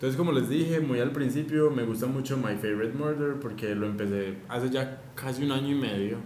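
Talking at a fairly quick pace with hardly any pauses, a man uses a medium pitch and ordinary pitch variation. Audible room echo and noticeable background noise fill the recording. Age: 20s. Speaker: podcast co-host, university student. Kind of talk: casual chat.

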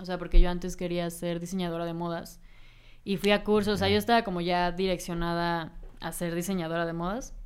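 A woman talks at a fairly quick pace in a plain, everyday voice, fairly low in pitch. Her intonation stays fairly even while her loudness swings widely. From Mexico, Cancún. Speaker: singer and audiovisual artist. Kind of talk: interview.

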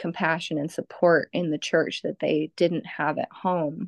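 In an American accent, a woman speaks in a normal speaking voice, with fairly low pitch and fairly even intonation. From Southern California. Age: 30s. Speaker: energy healer. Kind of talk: casual chat.

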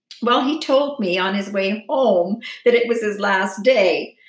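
A woman in a plain, everyday voice speaks at a fairly slow pace with a medium pitch and lively intonation. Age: 60s. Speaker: lifestyle vlogger. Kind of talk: personal vlog monologue.

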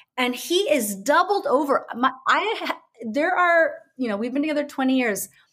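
With an American accent, the speaker's pitch swings very widely. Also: woman, high pitch for a woman, moderate pace. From United States. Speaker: brand and business coach. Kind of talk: casual interview chat. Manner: halting, many fillers.

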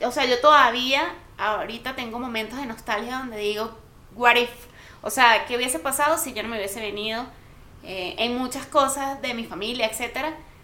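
A woman speaks with a high pitch and big swings in loudness. There is audible room echo and noticeable background noise. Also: ordinary pitch variation, moderate pace. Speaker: podcast co-host. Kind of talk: casual chat. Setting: home studio.

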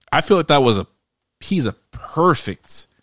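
An animated man speaks with lively intonation. The sound is dry and close with no echo, and the recording is very clean against a silent background. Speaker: podcast host. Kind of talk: casual chat.

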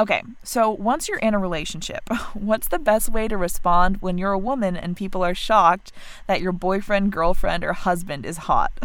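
A woman's medium-pitched voice, with ordinary pitch variation, moves at a moderate tempo. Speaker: podcast host. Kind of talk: casual chat.

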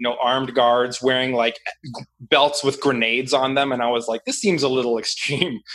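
Using an unremarkable speaking voice, a man with an American accent talks at a moderate pace and medium pitch, keeping his intonation fairly even. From Washington D.C. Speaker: stock trader. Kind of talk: casual chat.

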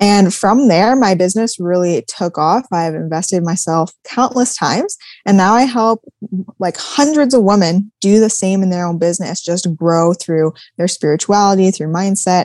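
With a Canadian accent, a woman speaks in a normal speaking voice at a medium pitch. Her pace is moderate and her pitch variation ordinary. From Manitoba, Canada (Swan Lake First Nation). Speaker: business and mindset coach. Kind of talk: interview.

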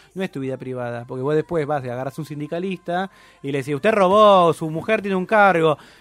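A man's fairly high voice at a very fast pace, with ordinary pitch variation and a dry, close sound with no echo. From Argentina, Campana (Buenos Aires province). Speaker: philosophy podcaster. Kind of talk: casual chat.

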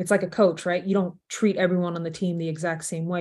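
In a normal speaking voice, a woman with an American accent speaks at a fairly low pitch with fairly even intonation. The background is quiet. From Texas, Arlington. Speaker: sports business executive. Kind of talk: interview.

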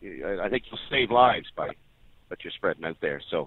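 With a medium pitch, this man speaks at a fairly quick clip. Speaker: caller, former auxiliary police. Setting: phone call. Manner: rambling, humorous, profane.

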